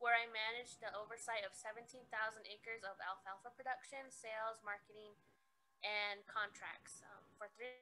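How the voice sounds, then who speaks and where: With an American accent, a woman speaks at a moderate pace and a fairly high pitch in a bright, sharp tone. Her intonation is monotone and flat, while her loudness swings widely. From Navajo Nation, US Southwest. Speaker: agricultural extension agent. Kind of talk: conference presentation. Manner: hesitant with frequent ums. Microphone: very quiet audio, volume fading.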